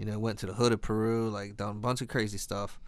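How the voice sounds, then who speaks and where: Someone with an American accent talks at a fairly quick pace in a monotone, flat intonation. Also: man. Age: 30s. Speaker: podcast co-host. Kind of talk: casual chat.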